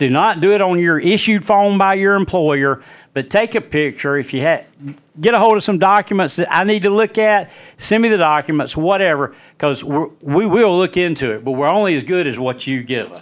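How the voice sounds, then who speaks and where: In a very clean recording with a silent background, a man with an Alabama accent speaks in a high voice at a fairly quick pace with lively intonation. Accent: US Southern, Alabama. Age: 60s. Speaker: local news podcaster. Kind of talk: opinion monologue.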